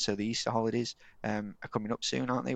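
A man with a Yorkshire accent, medium pitch, monotone and flat intonation, and a very fast pace. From Yorkshire, England (Eckington village). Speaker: telecoms business owner. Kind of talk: casual chat. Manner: talkative.

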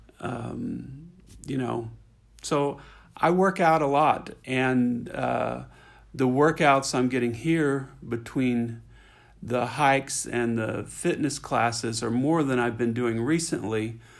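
A man's medium-pitched voice at a very slow pace, with ordinary pitch variation. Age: 60s. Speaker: software consultant, resort guest. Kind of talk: interview.

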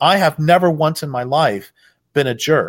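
This man has a plain, everyday voice, pitched fairly high, with lively intonation. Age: 60s. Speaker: author and activist. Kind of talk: interview.

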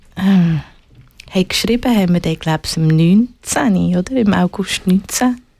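Speaking at a fairly slow pace, a woman has a medium pitch and ordinary pitch variation. Her tone is dark, mellow and somewhat breathy. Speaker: musician and activist. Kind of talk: casual interview.

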